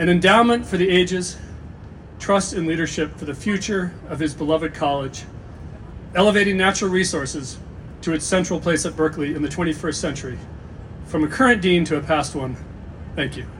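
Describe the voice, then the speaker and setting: Over noticeable background noise, a man with a high pitch speaks at a fairly quick pace, with ordinary pitch variation and long, frequent pauses. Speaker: college dean. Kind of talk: ceremony speech. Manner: fast.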